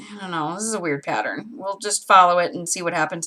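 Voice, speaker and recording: A woman speaks with an American accent. Her pitch sits fairly low, with ordinary pitch variation. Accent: Great Lakes accent per online survey. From US Great Lakes region. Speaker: crafter livestreamer. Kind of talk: casual livestream tutorial.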